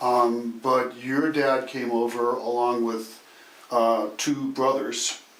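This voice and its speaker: Over noticeable background noise, a man speaks very slowly in a flat monotone at a medium pitch. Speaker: oral history interviewer. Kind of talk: casual conversational interview questions.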